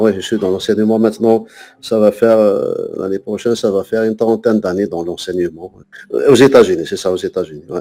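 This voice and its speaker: Using a dark, mellow tone, a man speaks fairly low and fairly quickly with ordinary pitch variation. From Algeria, Kabylie (Tizi Ouzou). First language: Kabyle (speaking French). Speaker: poet and French teacher. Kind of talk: interview. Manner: halting, many hesitations and repetitions.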